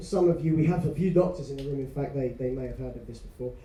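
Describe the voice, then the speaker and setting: Talking at a very fast pace in an English accent, a man uses ordinary pitch variation, and audible room echo is present. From England. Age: 30s. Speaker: business owner and speaker. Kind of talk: motivational talk. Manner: soft-spoken.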